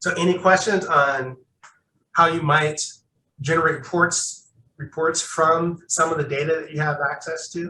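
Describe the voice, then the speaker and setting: A man's bright, sharp tone comes through in monotone, flat intonation. His pace is fairly slow. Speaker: workshop presenter. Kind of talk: tutorial.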